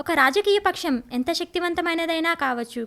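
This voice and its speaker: A woman speaks in an extremely high pitch with a bright, sharp tone. Her voice is raised and projected, with ordinary pitch variation. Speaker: dubbing artist. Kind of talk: documentary narration.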